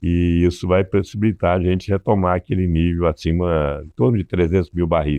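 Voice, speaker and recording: With a very deep, low pitch, a man speaks at a fairly quick pace using fairly even intonation. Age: 70s. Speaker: business consultant. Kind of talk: interview. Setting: studio.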